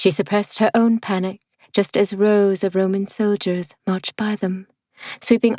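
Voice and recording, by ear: Reading aloud in a natural voice, with fairly even intonation against a quiet background.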